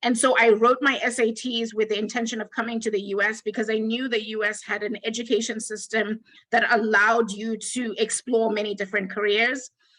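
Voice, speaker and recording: The woman's tone is bright and sharp, her intonation monotone and flat. She talks at a fairly quick pace with hardly any pauses. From Zimbabwe. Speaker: data science executive, actuary. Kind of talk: panel discussion.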